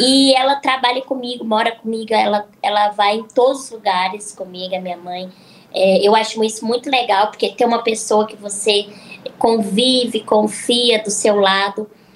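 Noticeable background noise sits behind a woman. She talks at a moderate pace with a fairly high pitch. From Minas Gerais (Araxá), Brazil. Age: 20s. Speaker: influencer and psychologist. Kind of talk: casual chat.

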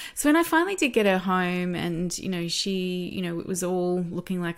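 Fairly low pitch from a woman with an Australian accent, at a moderate pace, on a very clean recording with a silent background. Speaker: parenting educator and former doula. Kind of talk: interview.

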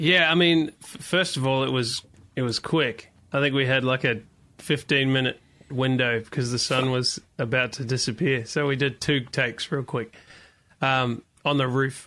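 A man in a New Zealand accent, bright and sharp in tone, with fairly even intonation over a quiet background. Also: medium pitch for a man, moderate pace. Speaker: worship leader. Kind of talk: interview.

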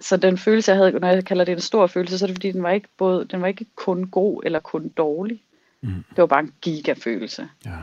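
This is a normal speaking voice with ordinary pitch variation at a fairly quick pace. The sound is dry and close, with no echo. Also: woman, medium pitch for a woman. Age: 30s. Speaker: self-employed dreamer sharing a dream. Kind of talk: casual chat.

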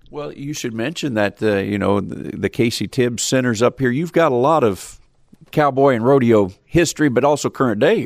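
A man talks at a moderate pace with medium pitch and ordinary pitch variation, in an unremarkable speaking voice. The recording is very clean, with a silent background. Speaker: farm radio podcast host. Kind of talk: host intro and interview.

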